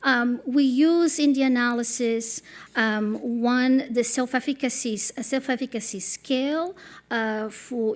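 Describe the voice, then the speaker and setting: A woman's voice with ordinary pitch variation comes through in a very clean recording with a silent background. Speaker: public health professor. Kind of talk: conference presentation. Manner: hesitant, many fillers.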